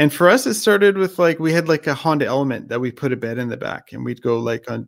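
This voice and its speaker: Here is a man with a plain, everyday voice. He talks at a fairly quick pace with lively intonation. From Canada. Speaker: motorcycle YouTuber. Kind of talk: casual chat. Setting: live stream video call.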